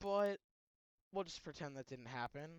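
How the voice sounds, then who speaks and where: A soft-spoken man is heard with a dry, close sound and no echo. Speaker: gaming youtuber. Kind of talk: gameplay commentary. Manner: halting.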